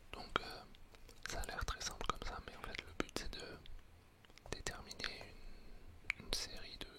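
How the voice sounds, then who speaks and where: Whispering at a fairly slow pace, a man is heard over noticeable background noise. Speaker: coach. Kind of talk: ASMR whispered talk. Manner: whispered; hesitant, many filler sounds.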